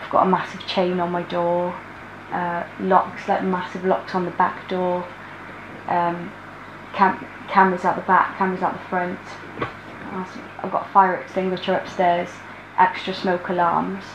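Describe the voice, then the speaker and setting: The delivery is monotone and flat, set at a moderate pace with long, frequent pauses. Noticeable background noise runs underneath. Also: woman. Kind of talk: interview answer. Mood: worried, subdued. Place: home room.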